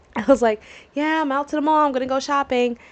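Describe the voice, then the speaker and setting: Noticeable background noise is present. Over it, a woman talks in a high pitch. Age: 20s. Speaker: podcast host. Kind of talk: casual chat.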